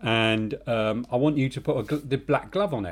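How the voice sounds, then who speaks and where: A man's voice with a London accent on a very clean recording with a silent background. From England, North London. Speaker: podcast co-host, film industry worker. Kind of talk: casual chat.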